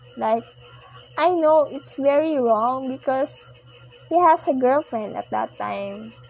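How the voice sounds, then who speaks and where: This woman speaks at a very slow pace. Her loudness swings a lot, over noticeable background noise. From Philippines. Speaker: podcast host. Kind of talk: personal monologue. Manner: soft-spoken; halting.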